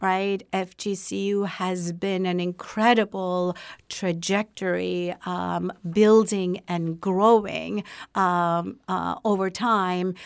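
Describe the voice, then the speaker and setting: A woman speaks at medium pitch with a Turkish accent. Her delivery is very slow and monotone, with flat intonation. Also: very clean recording, silent background. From Turkey. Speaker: university president. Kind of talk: interview. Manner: halting.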